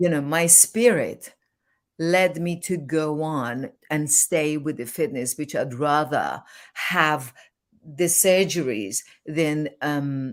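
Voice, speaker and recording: With a non-native accent, a woman speaks at a very slow pace and a very deep, low pitch, with ordinary pitch variation. The recording is very clean, with a silent background. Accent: foreign. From Iran. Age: 60s. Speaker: relationship coach. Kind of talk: interview.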